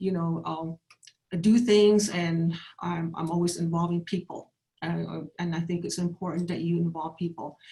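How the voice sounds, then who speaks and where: Woman with an American accent at a moderate pace, fairly low in pitch, with a dark, mellow tone, somewhat breathy, and in monotone, flat intonation. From Navajo Nation, northern Arizona. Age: 60s. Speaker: political candidate. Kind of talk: candidate forum statement. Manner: halting, many fillers and restarts.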